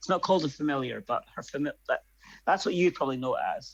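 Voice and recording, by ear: Speaking at a fast pace, a man with vocal fry keeps a fairly high pitch and ordinary pitch variation.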